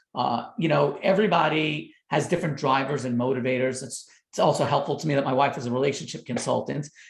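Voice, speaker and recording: This man speaks in a New York accent at a fairly high pitch. Vocal fry runs through his voice. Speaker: doctor and parenting author. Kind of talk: podcast interview.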